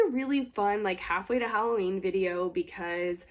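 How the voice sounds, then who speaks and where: A woman is speaking. She keeps a moderate pace. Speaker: lifestyle YouTuber. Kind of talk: casual vlog talk. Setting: home recording with ring light. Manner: chatty, filler-heavy.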